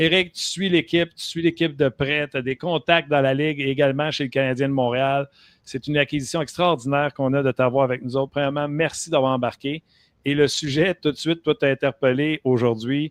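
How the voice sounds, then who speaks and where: A man speaks at a fairly quick pace, his fairly high pitch held in fairly even intonation. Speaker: sports talk show host. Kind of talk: casual chat.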